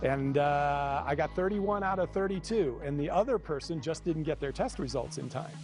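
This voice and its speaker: Over background music, a man with a fairly high pitch talks at a moderate pace with ordinary pitch variation and hardly any pauses. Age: 60s. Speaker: filmmaker and retired theater teacher. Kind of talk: TV interview.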